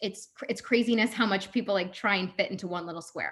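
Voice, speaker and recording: This woman's voice is somewhat breathy. Her pitch sits in the medium range. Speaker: social media coach. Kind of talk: workshop presentation. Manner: fast.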